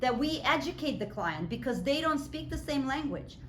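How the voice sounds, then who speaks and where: High-pitched female voice in a Russian accent, with lively intonation and audible room echo. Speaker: professor. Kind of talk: lecture. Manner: conversational.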